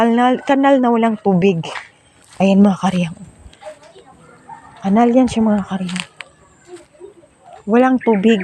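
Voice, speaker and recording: Speech at a fairly slow pace, broken by long, frequent pauses, plays over noticeable background noise. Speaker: vlogger. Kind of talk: casual vlog walkthrough.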